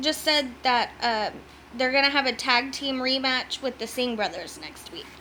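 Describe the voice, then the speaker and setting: Speaking at a high pitch, a woman uses a raised, projected voice. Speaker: wrestling recap YouTuber. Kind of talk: casual recap vlog. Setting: home video recording. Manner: animated.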